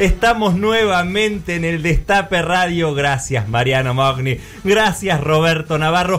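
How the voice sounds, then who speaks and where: Lively intonation at a fairly slow pace, with noticeable background noise. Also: man, high pitch for a man. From Argentina, Tandil. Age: 30s. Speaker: radio podcast co-host. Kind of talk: casual panel chat.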